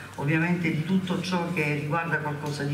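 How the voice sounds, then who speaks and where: A woman talks with noticeable background noise behind her. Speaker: local politician introducing leader. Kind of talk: political rally speech. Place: hall. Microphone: podium.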